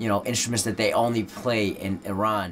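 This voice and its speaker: Noticeable background noise sits behind a man of medium pitch speaking with fairly even intonation. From Netherlands. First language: Dutch. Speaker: rapper. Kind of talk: interview. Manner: casual, many fillers.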